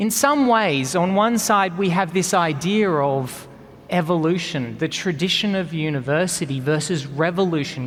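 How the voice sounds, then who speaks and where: A man with an Australian accent, high in pitch, at a moderate pace with ordinary pitch variation. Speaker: engineering professor; conference speaker, engineering lecturer. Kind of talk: conference keynote talk.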